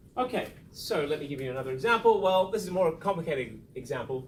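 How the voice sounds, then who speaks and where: This man's pitch swings very widely, with audible room echo around him. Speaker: statistics lecturer. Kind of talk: lecture. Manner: fast.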